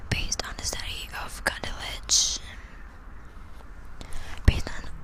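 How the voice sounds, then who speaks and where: A whispering voice goes at a fairly slow pace, noticeable background noise behind it. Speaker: ASMR creator, student. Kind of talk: dry scientific report reading, sleep ASMR. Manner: slow, whispered, with occasional stumbles.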